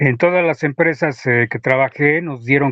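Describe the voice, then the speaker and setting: Here is a plain, everyday voice from a man at a medium pitch. He speaks at a moderate pace with ordinary pitch variation. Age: 60s. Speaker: retired aviation technician and UFO researcher. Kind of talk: interview.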